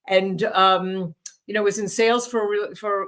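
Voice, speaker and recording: A woman with a New York accent speaks at a moderate pace, her intonation fairly even. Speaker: leadership training executive. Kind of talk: interview.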